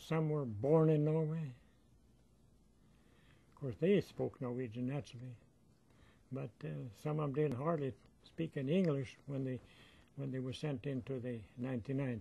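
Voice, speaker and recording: At a moderate pace and with long, frequent pauses, a man with an American accent speaks at a medium pitch, his dark, mellow tone somewhat breathy and his pitch variation ordinary. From northern Minnesota. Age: 80s+. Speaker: war veteran. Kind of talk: interview answer.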